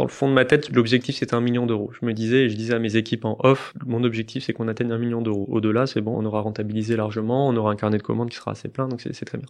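Monotone, flat delivery at a very fast pace with hardly any pauses. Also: man, medium pitch for a man. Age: 30s. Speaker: startup CEO. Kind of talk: interview.

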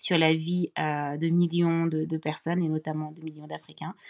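A woman with an unremarkable speaking voice, pitched fairly low and with fairly even intonation. The sound is dry and close, with no echo. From Cameroon. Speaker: social entrepreneur and author. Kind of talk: casual interview conversation.

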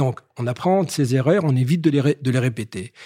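A man's somewhat breathy voice with ordinary pitch variation, dry and close with no echo, on a very clean recording with a silent background. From Paris. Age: 60s. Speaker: business executive. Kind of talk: interview. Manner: halting, repeats words.

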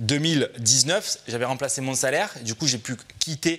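The speech moves at a fairly slow pace with ordinary pitch variation. Noticeable background noise is present. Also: man. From southwest France. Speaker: real estate investment trainer, founder. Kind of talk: radio interview.

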